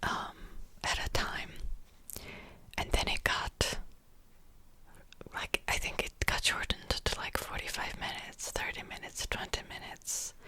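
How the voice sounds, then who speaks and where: A fairly slow whisper with noticeable background noise. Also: woman. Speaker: ASMR creator. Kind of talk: ASMR whispered ramble to camera. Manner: whispered, soft-spoken, casual.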